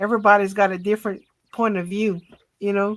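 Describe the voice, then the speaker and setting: A woman speaks at a moderate pace with a medium pitch and a flat, monotone intonation. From south Louisiana, Cajun area near Lafayette. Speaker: livestream guest, spiritual chat. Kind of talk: casual chat. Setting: live stream video call.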